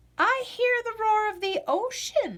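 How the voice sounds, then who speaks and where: A woman's squeaky, put-on character voice at an extremely high pitch, fairly slow, with lively intonation. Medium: read story.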